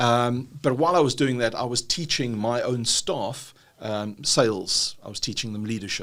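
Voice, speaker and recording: This man speaks in a South African accent at a medium pitch with ordinary pitch variation. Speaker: business trainer, dyslexia and ADHD advocate. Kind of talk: podcast interview. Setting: university facility.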